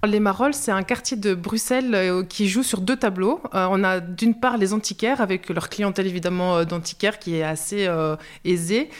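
At a moderate pace, a woman uses an ordinary speaking voice of medium pitch, with ordinary pitch variation and very even loudness. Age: 40s. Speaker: social grocery worker and cook. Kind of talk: interview testimony.

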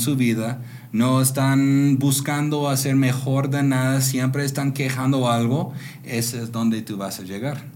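There is audible room echo as a man with an American accent talks at a fairly slow pace, medium in pitch and fairly even in intonation. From US Pacific Northwest (rural Washington state). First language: English (speaking Spanish). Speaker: entrepreneur. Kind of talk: interview. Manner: halting.

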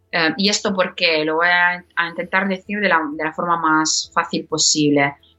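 A woman with a non-native accent talks at a moderate pace with hardly any pauses. Her pitch is fairly low and her intonation fairly even. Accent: foreign accent in Spanish. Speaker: podcast platform executive. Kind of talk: interview. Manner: halting, many fillers.

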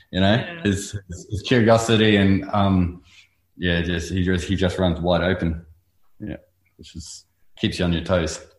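This man has a New Zealand accent and a very deep, low voice. He sounds somewhat breathy, with fairly even intonation at a moderate pace. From New Zealand, North Island. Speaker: artist, muralist. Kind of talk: casual interview.

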